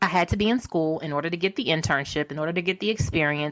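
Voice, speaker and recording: In a very clean recording with a silent background, a woman with an American accent speaks at a very fast pace and a fairly low pitch. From Baltimore, Maryland. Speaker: media personality and tech entrepreneur. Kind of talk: podcast interview.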